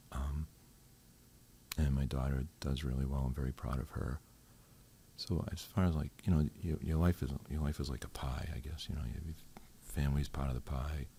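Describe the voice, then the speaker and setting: Using a very deep, low pitch and a dark, mellow tone, a man with an American accent sounds somewhat breathy, keeps a fairly even intonation at a moderate pace and takes long, frequent pauses. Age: 60s. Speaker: retired corrections officer. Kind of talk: podcast interview. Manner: hesitant, many fillers.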